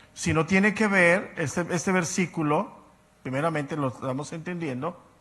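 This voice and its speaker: The man's tone is bright and sharp, with a high pitch. His pitch varies in an ordinary way over a quiet background. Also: moderate pace. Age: 60s. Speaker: Bible teacher. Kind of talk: lecture.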